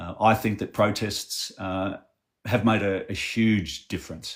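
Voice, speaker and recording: A man with an Australian accent and a fairly low pitch is heard in a very clean recording with a silent background. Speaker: activist. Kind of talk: interview.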